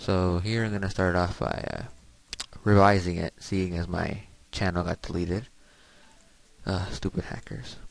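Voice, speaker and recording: This man's voice is very deep and low. He keeps to a moderate pace. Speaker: emulator tutorial maker. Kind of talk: casual tutorial narration.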